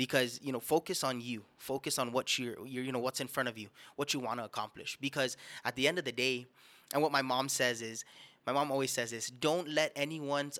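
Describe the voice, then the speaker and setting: Over a silent background in a very clean recording, a man with a Guamanian accent speaks at a medium pitch and fairly quick pace, with a bright, sharp tone and fairly even intonation. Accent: Guamanian (Chamorro) English. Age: 20s. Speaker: musician. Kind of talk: casual chat. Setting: studio.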